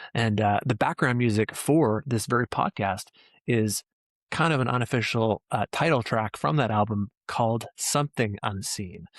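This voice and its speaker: A man speaks at a medium pitch and moderate pace in a plain, everyday voice, with ordinary pitch variation, very even loudness, and a dry, close sound with no echo. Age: 40s. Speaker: podcast host; former rock band musician. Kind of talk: scripted narration; casual chat.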